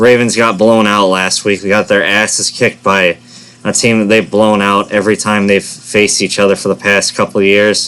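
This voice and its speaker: A man's fairly low voice, monotone and flat, at a moderate pace. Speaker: sports predictions youtuber. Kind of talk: casual monologue. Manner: stuttering, self-correcting.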